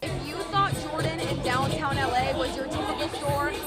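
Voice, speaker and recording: A woman speaks at an unhurried, moderate rate while music plays behind her. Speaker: news reporter. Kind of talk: news reel montage of short anchor-style reads.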